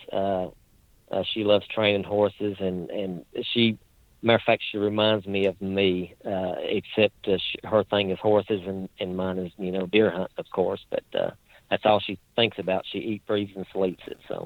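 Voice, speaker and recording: In a strong Appalachian accent, a man talks at a moderate pace with a fairly low pitch and monotone, flat intonation. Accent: strong Appalachian hillbilly. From southwestern Virginia, Appalachian coal fields. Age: 40s. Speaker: deer hunter. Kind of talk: casual interview. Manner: halting with many fillers.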